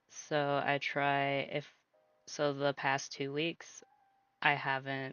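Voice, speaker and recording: Music runs in the background. The accent is American. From US Midwest. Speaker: vtuber streamer. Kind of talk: live stream chat. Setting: live stream. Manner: halting.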